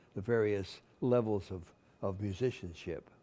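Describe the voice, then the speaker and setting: Over music in the background, a man speaks at a fairly low pitch and a moderate pace with ordinary pitch variation. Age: 80s+. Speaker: bandmaster and conductor. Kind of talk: interview answer.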